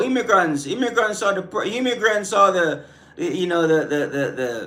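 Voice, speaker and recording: A man with a Caribbean accent, at a fairly slow pace and with lively intonation. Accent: Caribbean island. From Caribbean islands. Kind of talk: live stream rant responding to chat. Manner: halting, many fillers and repetitions; animated.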